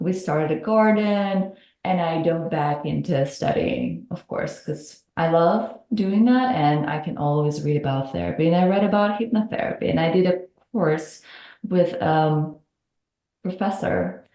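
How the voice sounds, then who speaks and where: With a Russian accent, a woman speaks at a fairly slow pace in a dark, mellow tone. Her pitch is fairly low, with ordinary variation. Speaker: hypnotherapist. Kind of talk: podcast interview.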